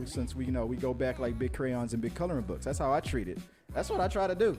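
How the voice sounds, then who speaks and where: Music sounds behind the voice. The man speaks at a very fast pace. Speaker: podcast host. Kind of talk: casual interview conversation.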